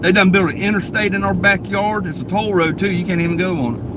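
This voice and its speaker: A northeast Florida accent amid noticeable background noise and audible room echo. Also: man. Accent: Southern US, northeast Florida. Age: 40s. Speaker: live streamer. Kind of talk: casual live stream chat. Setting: in a car, driving. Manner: casual, rambling.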